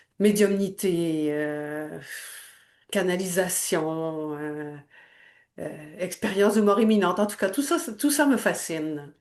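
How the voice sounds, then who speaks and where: A woman's medium-pitched voice with lively intonation, a very slow pace and long, frequent pauses, in audible room echo. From Quebec. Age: 60s. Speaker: energy healer. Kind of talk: testimony. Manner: halting.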